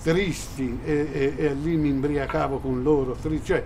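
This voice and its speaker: Through audible room echo and noticeable background noise, a man with a fairly high pitch speaks at a fairly slow pace. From Italy. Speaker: actor. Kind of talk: interview.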